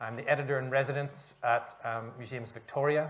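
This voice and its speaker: Here a man speaks in a Northern Irish accent. His intonation is fairly even. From Northern Ireland, Belfast. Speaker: author. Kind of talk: panel discussion.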